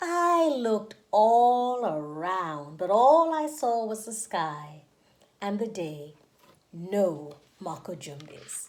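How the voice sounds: Speaking at a very slow pace, a woman with a medium pitch makes big pitch swings as room echo comes through.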